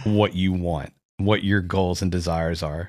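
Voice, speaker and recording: A man with a very deep, low pitch, moderate pace and fairly even intonation, very clean recording with a silent background. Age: 30s. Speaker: podcast host. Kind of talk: casual chat.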